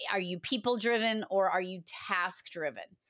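Here a woman speaks at a medium pitch with a Boston accent. Her pitch varies in an ordinary way, and the recording is very clean with a silent background. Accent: Boston-area New England. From Massachusetts. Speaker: 911 dispatcher turned trainer and consultant. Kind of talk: casual interview.

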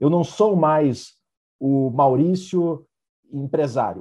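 A man's somewhat breathy voice, fairly high for a man, with a dark, mellow tone. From southern Brazil, Vacaria (Rio Grande do Sul). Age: 30s. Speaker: entrepreneur and author. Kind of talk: interview.

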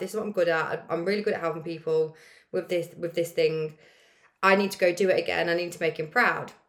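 A woman's voice at a fairly quick pace with ordinary pitch variation, music playing in the background. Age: late 20s, turning 30. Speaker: podcast host, life coach. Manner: casual, chatty.

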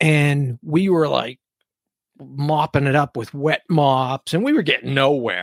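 With an unremarkable speaking voice, a man speaks at a fairly slow pace and fairly high pitch, his intonation fairly even and the sound dry and close with no echo. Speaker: podcast host. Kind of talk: casual chat. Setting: studio.

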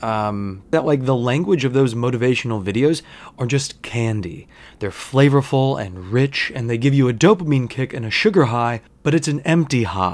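Recorded very cleanly against a silent background, a man with a normal speaking voice talks at a medium pitch with lively intonation. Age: 30s. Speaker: podcast host. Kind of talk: solo casual monologue. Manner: casual with frequent laughter.

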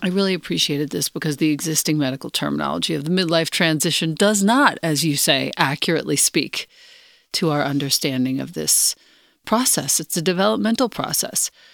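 On a very clean recording with a silent background and a dry, close sound with no echo, a woman speaks at a fairly quick pace in a very deep, low pitch, with vocal fry and lively intonation. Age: 50s. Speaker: podcast host. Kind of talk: interview.

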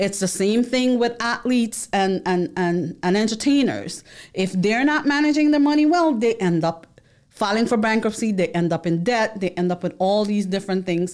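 A woman with an American accent speaks at a medium pitch and moderate pace, with lively intonation. She has a plain, everyday voice, and her loudness stays very even. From New York City, the Bronx. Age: 40s. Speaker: accountant and financial literacy educator. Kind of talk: monologue to camera. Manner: rambling with fillers and repetitions.

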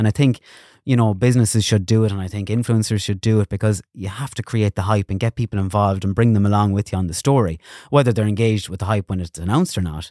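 In an Irish accent, a man talks at a very fast pace with a fairly low pitch and a dark, mellow tone, the sound dry and close with no echo on a very clean recording with a silent background. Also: ordinary pitch variation. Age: 30s. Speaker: radio presenter and influencer. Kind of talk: casual chat.

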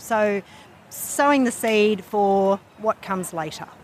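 A woman speaks at a medium pitch and a moderate pace. Noticeable background noise is present.

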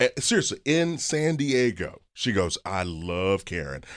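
A man's voice shows vocal fry and very wide pitch swings. The recording is very clean, with a silent background. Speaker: personal finance expert and author. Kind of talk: casual chat. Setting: studio. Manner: energetic.

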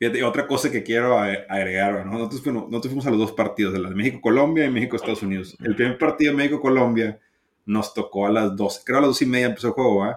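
Speaking very fast, a man holds a medium pitch. His pitch varies in an ordinary way. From Mexico. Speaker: baseball podcast co-host. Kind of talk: casual chat.

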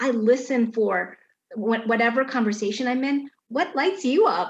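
A woman with a high-pitched voice speaks in an American accent. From Chicago. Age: 50s. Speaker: garden designer. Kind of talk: casual chat.

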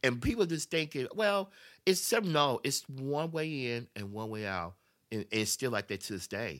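A man with a Memphis accent, medium pitch and very wide pitch swings, at a moderate pace in a very clean recording with a silent background. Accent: US Southern, Memphis. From Memphis, Tennessee. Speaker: podcast guest. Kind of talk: casual chat.

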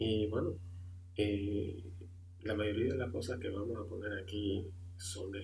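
The voice is somewhat breathy and moves at a fairly slow pace. Audible room echo surrounds it. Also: man. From Honduras. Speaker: amateur podcast host. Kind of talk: podcast introduction monologue. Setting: home room, computer and microphone. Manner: halting, many filler sounds.

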